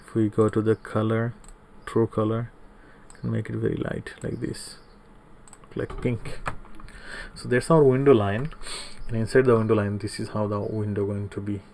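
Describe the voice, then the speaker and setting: A soft-spoken man talks at a moderate pace in a fairly low pitch with fairly even intonation. His loudness swings a lot, and he takes long, frequent pauses. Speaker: CAD tutorial instructor. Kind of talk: tutorial.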